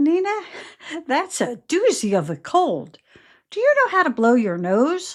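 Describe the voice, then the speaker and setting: A woman speaks at a moderate pace in a high, put-on character voice, her pitch swinging very widely between long, frequent pauses, on a very clean recording with a silent background. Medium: read story. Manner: kind, gentle.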